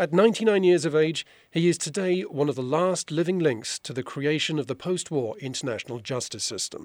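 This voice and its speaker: With an unremarkable speaking voice, a man talks at a fairly quick pace and fairly high pitch, his intonation lively and his pauses hardly any, in a very clean recording with a silent background. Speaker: podcast host. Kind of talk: news reading.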